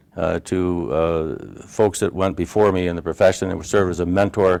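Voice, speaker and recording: This man's pitch is very deep and low. He has an American accent. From Upstate New York. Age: 60s. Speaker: healthcare valuation consultant. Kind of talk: interview. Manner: halting, many fillers.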